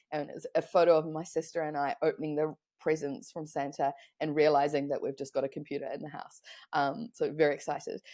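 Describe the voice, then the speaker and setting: On a very clean recording with a silent background, a woman with a New Zealand accent talks at a very fast pace, her very deep, low pitch and dark, mellow tone showing ordinary pitch variation and big swings in loudness. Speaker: online business consultant. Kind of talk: podcast interview.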